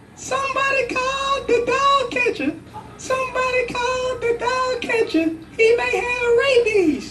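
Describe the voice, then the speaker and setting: Over music in the background, a man speaks in an animated tone at a fairly slow pace. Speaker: Toastmasters club speaker. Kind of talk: tall tale speech told to an audience. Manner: animated, storytelling, humorous.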